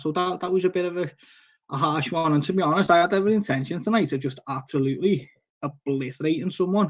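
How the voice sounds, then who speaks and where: With a strong Liverpool accent, a man talks at a fairly quick pace and with ordinary pitch variation. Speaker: koi fish seller and live-stream host. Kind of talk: casual live-stream chat. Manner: halting, many fillers and restarts.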